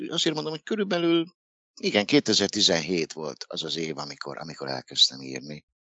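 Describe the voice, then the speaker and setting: A man speaks at a moderate pace. His loudness rises and falls sharply. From Hungary, Dunaújváros. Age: 50s. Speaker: author. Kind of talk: interview.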